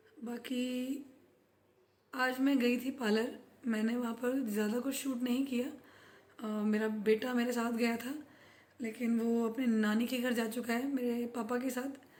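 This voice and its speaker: Amid audible room echo, a woman speaks in a high pitch with monotone, flat intonation and long, frequent pauses. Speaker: vlogger. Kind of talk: casual vlog talk.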